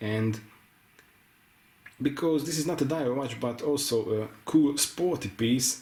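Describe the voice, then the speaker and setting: A man with a non-native accent and lively intonation, over noticeable background noise. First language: not English. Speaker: watch reviewer. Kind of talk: product review. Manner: halting.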